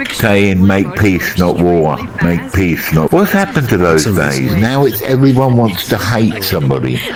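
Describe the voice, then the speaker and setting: A man speaks at very even loudness with very wide pitch swings. The room echo is audible, and background noise is noticeable. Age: 70s. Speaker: elderly VR chat player. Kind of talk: casual chat.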